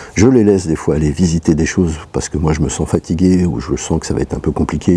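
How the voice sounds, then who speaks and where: A man talks at a very fast pace in a very deep, low voice. His pitch varies in an ordinary way, with noticeable background noise behind him. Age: 60s. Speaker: travel vlogger with a leg amputation. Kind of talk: vlog monologue. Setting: at home. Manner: halting, many fillers.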